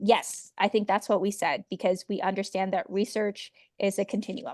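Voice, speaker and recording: In a dry, close sound with no echo, a woman of medium pitch speaks at a fairly quick pace with monotone, flat intonation. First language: not English. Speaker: midwife and program organizer. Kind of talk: online info session Q&A. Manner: casual, many fillers (um).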